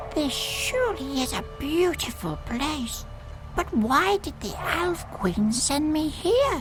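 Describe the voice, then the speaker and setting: Over loud music in the background, a put-on character voice speaks at a high pitch and a fairly slow pace. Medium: game stream. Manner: timid.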